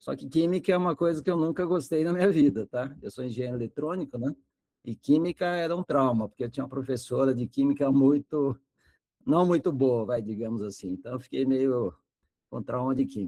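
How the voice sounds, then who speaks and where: A man's fairly high, dark, mellow voice at a fairly quick pace with lively intonation, dry and close with no echo over a quiet background. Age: 60s. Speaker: retired electronics engineer, lecturer. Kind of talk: online lecture.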